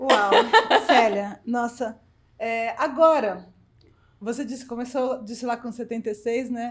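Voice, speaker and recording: A woman with a high voice talks at a fairly slow pace, leaving long, frequent pauses, with big swings in loudness and fairly even intonation. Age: 50s. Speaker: podcast host. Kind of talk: interview.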